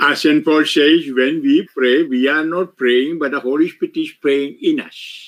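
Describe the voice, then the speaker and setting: A man at a very slow pace with hardly any pauses. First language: Malayalam (speaking French). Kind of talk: retreat sermon with interpreter. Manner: short phrases paused for interpreter.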